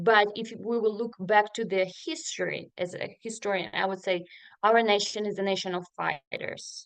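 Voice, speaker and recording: Speaking at a fairly slow pace with a Ukrainian accent, a woman uses a medium pitch and ordinary pitch variation. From Ukraine (Sloviansk, Donetsk region). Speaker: refugee resettlement worker. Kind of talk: panel discussion. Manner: halting, many fillers.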